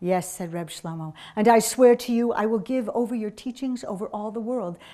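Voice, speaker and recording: Over a quiet background, a woman in a plain, everyday voice speaks at medium pitch and a moderate pace with ordinary pitch variation. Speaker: storyteller. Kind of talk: live storytelling performance to an audience.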